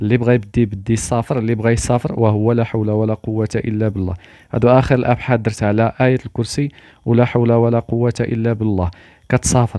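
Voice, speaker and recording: Over a quiet background, a man with a dark, mellow tone speaks at a moderate pace in a monotone, flat intonation. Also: medium pitch for a man, dry, close sound with no echo. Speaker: spiritual YouTuber. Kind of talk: religious talk to camera.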